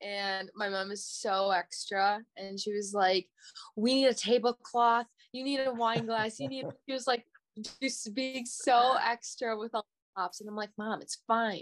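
A woman with a normal speaking voice and an American accent talks at a fairly slow pace. Her pitch is fairly high with ordinary variation, and the sound is dry and close with no echo. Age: 20s. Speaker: date guest. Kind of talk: casual chat.

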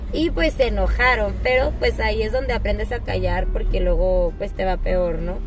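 A woman speaks at a moderate pace. There is audible room echo along with noticeable background noise. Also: hardly any pauses. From Mexico, Saltillo (Coahuila). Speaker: medical student. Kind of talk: casual interview.

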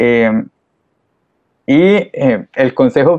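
He speaks with a Costa Rican accent. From Costa Rica, San Ramón de Alajuela. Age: 20s. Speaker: microbiology student, church volunteer. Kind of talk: interview conversation.

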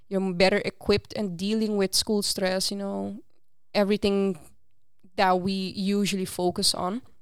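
Woman with a Curaçao accent and monotone, flat intonation, in a very clean recording with a silent background. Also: medium pitch for a woman, moderate pace. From Aruba. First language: Papiamento. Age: 20s. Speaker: student peer coach. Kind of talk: casual interview.

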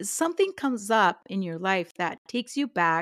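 In an ordinary speaking voice, a woman talks at a medium pitch with lively intonation, recorded very cleanly against a silent background with a dry, close sound and no echo. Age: 50s. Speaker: podcast co-host, home education organization leader. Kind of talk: casual chat.

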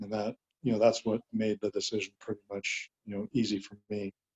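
The voice has a dark, mellow tone and a moderate pace in a dry, close sound with no echo. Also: man. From Southern California. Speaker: physician and medical director. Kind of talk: interview.

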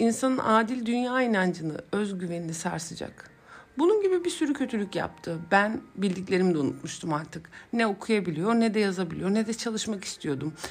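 Her medium-pitched voice is somewhat breathy, moving at a moderate pace with very wide pitch swings. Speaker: psychologist podcast host. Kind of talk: personal storytelling monologue.

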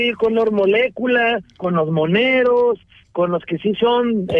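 With ordinary pitch variation, a man speaks at an extremely high pitch. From Jalisco, Mexico. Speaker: journalist. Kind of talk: radio interview. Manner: halting.

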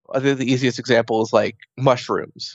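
In a normal speaking voice, a man at medium pitch speaks at a moderate pace with fairly even intonation. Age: 30s. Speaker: person living with an eating disorder. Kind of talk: casual interview.

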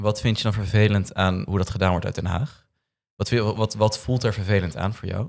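The man has a normal speaking voice, fairly low in pitch and fairly even in intonation, at a moderate pace on a very clean recording with a silent background. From Noord-Holland, Netherlands. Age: 20s. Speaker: young politician. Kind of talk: political discussion.

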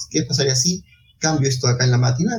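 A man is speaking here. His voice is somewhat breathy. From Peru, Ica. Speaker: bioinformatics society vice president, biologist. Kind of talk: interview.

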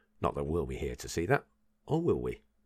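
Vocal fry marks a man's voice on a very clean recording over a silent background. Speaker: personal development podcaster. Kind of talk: solo podcast monologue. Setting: home recording at a microphone. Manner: rambling, with filler words.

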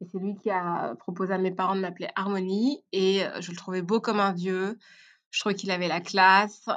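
Over a quiet background, a woman speaks at a medium pitch with fairly even intonation. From Belgium (Brussels and Tournai). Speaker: podcast guest. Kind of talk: casual interview. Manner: halting, many repetitions.

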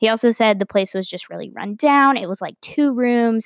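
In a very clean recording with a silent background and a dry, close sound with no echo, a woman with an American accent speaks at a moderate pace with a fairly high pitch and ordinary pitch variation. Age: 20s. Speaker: podcast host. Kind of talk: casual monologue. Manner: casual, filler-heavy with frequent laughs.

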